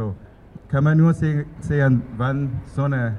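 This is a man with a Burmese accent. His tone is dark and mellow. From Myanmar, Yangon. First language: Burmese (speaking German). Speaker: music student. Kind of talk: speech at protest rally. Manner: halting.

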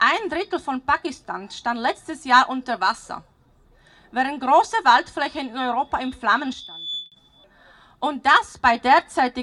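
Raised and projected, the voice has a bright, sharp tone and very wide pitch swings, delivered at a fairly slow pace with a dry, close sound and no echo. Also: woman. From Slovakia. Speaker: parent climate activist. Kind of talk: rally speech.

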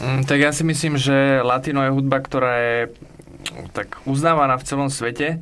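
Noticeable background noise under a man's fairly high, monotone, flat delivery. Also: moderate pace. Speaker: music producer. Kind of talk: radio interview. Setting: studio.

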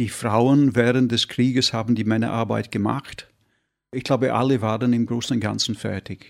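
A man at medium pitch and moderate pace, monotone and flat, on a very clean recording with a silent background. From northern England (Yorkshire, Derbyshire). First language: English (speaking German). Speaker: painter. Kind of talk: interview. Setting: studio. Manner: halting.

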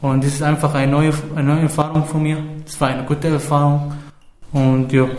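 Amid noticeable background noise and audible room echo, a man with a fairly high pitch speaks at a fairly quick pace in a monotone, flat intonation, with long, frequent pauses. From Syria. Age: 20s. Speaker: refugee youth, amateur theater participant. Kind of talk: interview. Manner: halting.

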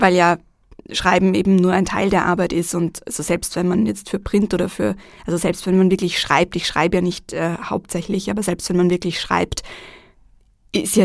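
This woman has a normal speaking voice, fairly low in pitch, and she talks at a moderate pace with fairly even intonation. The recording is very clean, with a silent background. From Vienna, Austria. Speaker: journalist and TV presenter. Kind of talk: radio interview.

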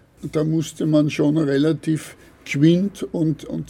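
Speaking very slowly with fairly even intonation, a man has a dark, mellow tone that is somewhat breathy. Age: 70s. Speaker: retired paper ruling craftsman. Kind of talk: interview. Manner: halting.

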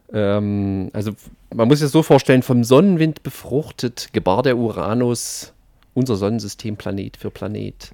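Here a man speaks in a dark, mellow tone at a moderate pace with ordinary pitch variation. The recording is very clean with a silent background, the sound dry and close with no echo. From not from the local region. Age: young. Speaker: satirical expert guest on hollow earth. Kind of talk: satirical mock lecture. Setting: radio studio. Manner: halting, many filler sounds.

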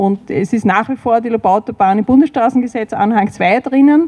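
Noticeable background noise sits behind this woman's voice. She speaks at a moderate pace with a fairly high pitch. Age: 50s. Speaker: environmental activist. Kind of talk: panel discussion.

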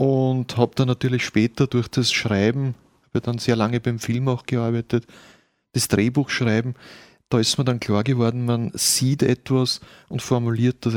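At a moderate pace, an unremarkable speaking voice comes through dry and close with no echo on a very clean recording with a silent background. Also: man. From rural Austria. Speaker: author. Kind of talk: interview. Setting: studio.

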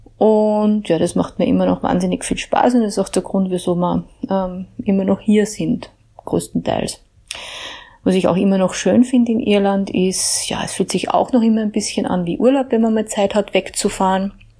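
A woman at medium pitch with an unremarkable speaking voice, a moderate pace and fairly even intonation. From Upper Austria, Mühlviertel (Hagenberg). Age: 40s. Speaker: EU policy researcher. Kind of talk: personal account.

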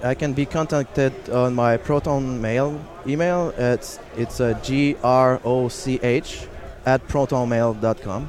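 A man speaks very slowly at a medium pitch. His pitch varies in an ordinary way, and background noise is noticeable. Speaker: activist and graduate student. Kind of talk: interview. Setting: live at a conference, noisy hall.

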